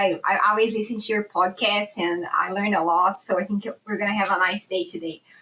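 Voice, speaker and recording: A woman with a Brazilian accent speaks at a fairly quick pace and a fairly high pitch. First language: Portuguese. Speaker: animal science professor. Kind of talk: podcast interview.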